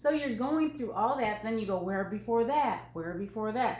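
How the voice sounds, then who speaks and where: With noticeable background noise behind her, a woman speaks at a moderate pace with a fairly high pitch and lively intonation. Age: 60s. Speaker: NLP coach. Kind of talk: casual interview.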